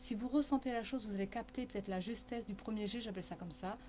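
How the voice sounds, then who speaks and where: This woman speaks fairly quickly in a fairly high voice. Her pitch varies in an ordinary way. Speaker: channeling medium and therapist. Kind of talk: live-stream spiritual guidance talk. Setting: Facebook live stream. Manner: fast.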